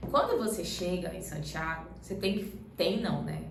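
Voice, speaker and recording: A woman speaks with a Pará accent and fairly even intonation. Noticeable background noise and audible room echo are present. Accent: Pará (paraense). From Brazil, Belém do Pará. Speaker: travel vlogger, pilgrim. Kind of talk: casual Q&A chat.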